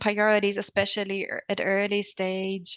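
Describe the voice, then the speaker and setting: Against a quiet background with a dry, close sound and no echo, a woman speaks in a German accent at a medium pitch, moderate pace and monotone, flat intonation. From Germany. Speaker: academic researcher. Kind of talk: panel discussion. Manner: halting.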